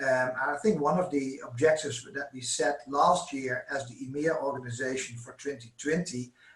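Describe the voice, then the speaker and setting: A man's fairly high pitch with ordinary variation, at a moderate pace. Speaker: sales manager presenting webinar. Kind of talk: corporate webinar presentation. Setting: online webinar with interpreters. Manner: hesitant, many fillers.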